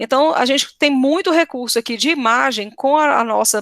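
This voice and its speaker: A woman with a high pitch and ordinary pitch variation is heard in a dry, close sound with no echo, on a very clean recording with a silent background. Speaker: teacher giving a workshop. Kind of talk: tutorial. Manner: fast.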